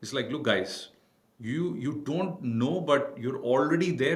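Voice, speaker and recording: A man with an Indian accent at a moderate pace, ordinary pitch variation, and audible room echo. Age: 40s. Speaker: cybersecurity entrepreneur. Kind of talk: podcast interview.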